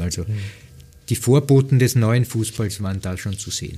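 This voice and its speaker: A man with a fairly low pitch and a dark, mellow tone speaks at a moderate pace. His voice is somewhat breathy. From Lower Austria, near Wiener Neustadt. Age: 50s. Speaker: football pundit and former coach. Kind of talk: interview conversation.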